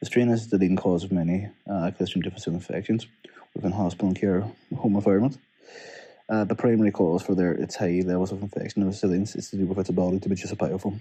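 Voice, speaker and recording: Speaking very fast with a Northern Irish accent, a man has a very deep, low pitch. His tone is dark and mellow, and his intonation is fairly even. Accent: Derry. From Northern Ireland, Derry. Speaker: PhD student. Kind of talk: recorded research summary. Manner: casual.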